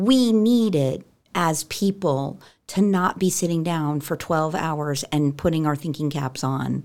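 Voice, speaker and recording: A woman with a very deep, low pitch, ordinary pitch variation, and a fairly slow pace. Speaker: operations director. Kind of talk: casual chat.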